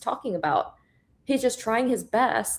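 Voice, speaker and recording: With an animated tone, a woman speaks at a fairly high pitch. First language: Korean. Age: 30s. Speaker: trader and former photographer. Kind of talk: casual chat.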